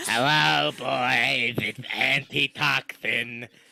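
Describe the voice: A man's raspy, medium-pitched put-on character voice at a very slow pace.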